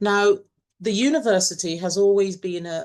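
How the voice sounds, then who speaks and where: A woman talks fairly slowly. All around her, it is quiet. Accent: English. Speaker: university webinar moderator. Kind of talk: webinar introduction. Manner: hesitant, many fillers.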